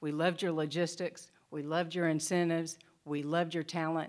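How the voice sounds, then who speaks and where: A fairly low-pitched woman with a Southern US accent, in a very clean recording over a silent background. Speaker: state economic development official. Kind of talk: conference presentation.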